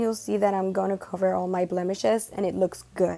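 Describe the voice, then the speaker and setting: On a very clean recording with a silent background, a woman with a Spanish accent speaks at medium pitch in a dark, mellow tone. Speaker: makeup beauty vlogger. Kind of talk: makeup tutorial talk to camera. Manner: casual, chatty.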